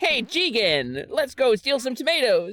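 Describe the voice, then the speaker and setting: Putting on a character voice, a woman speaks high at a moderate pace, her pitch swinging very widely. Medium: game stream.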